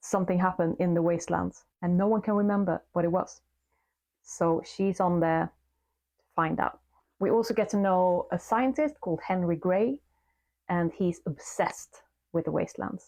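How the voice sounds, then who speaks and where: In a very clean recording with a silent background, a woman speaks at medium pitch with a Swedish accent. Her loudness stays very even, her pitch variation is ordinary, and her pace is moderate. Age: middle-aged. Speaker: book reviewer. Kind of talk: casual book review vlog.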